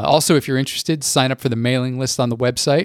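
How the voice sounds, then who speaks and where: A man with an ordinary speaking voice. His pitch is medium with ordinary variation. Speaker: podcast host and music writer. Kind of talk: scripted intro then interview.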